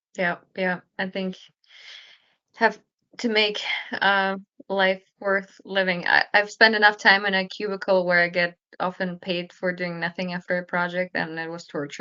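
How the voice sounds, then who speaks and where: A woman with a non-native accent speaks at a moderate pace and medium pitch, her intonation monotone and flat, with long, frequent pauses. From Kazakhstan. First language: not English. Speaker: company founder. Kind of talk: interview.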